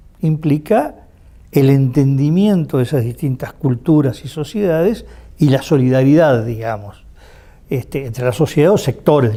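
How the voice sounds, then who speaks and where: Lively intonation marks a man's fairly high, dark, mellow voice. He speaks at a moderate pace. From Uruguay. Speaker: political analyst and university professor. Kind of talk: interview answer.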